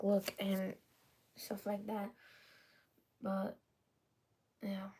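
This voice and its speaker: Medium pitch from a woman, somewhat breathy in quality. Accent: non-native. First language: not English. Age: 20s. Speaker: vlogger. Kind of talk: casual personal vlog talk. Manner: halting, many fillers and restarts.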